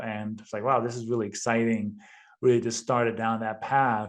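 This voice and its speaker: A man talks in a monotone, flat intonation with a Danish accent. His pitch sits in the medium range. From Denmark. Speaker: real estate investor. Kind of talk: podcast interview.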